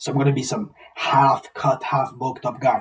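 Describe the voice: With a husky, rough edge and a fairly bright tone, a man at medium pitch speaks at a moderate pace with fairly even intonation.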